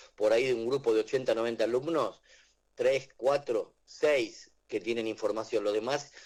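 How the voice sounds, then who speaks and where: With an Argentine accent, a man speaks at a moderate pace and very even loudness. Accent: Rioplatense Argentine Spanish. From Argentina. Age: 60s. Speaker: author and teacher. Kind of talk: radio interview. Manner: hesitant, repeats words.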